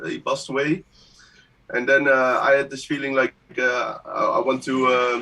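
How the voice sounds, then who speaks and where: A man with a Dutch accent speaks at a moderate pace in a fairly high pitch, his intonation fairly even. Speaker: music producer. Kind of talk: interview on live stream. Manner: halting.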